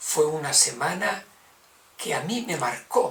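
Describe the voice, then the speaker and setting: Noticeable noise fills the background as a man delivers his words very slowly. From Spain, Navarra. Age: 70s. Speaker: religious brother. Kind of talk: testimony.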